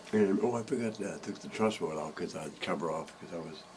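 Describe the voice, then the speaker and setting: This man talks at a fairly quick pace with an American accent, and there is noticeable background noise. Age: 70s. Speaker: bass maker and music teacher. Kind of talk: casual chat.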